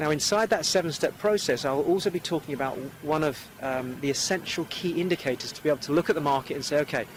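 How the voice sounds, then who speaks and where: A man at a fairly high pitch and a very fast pace. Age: 40s. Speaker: property investor and speaker. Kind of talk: interview. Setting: outdoors.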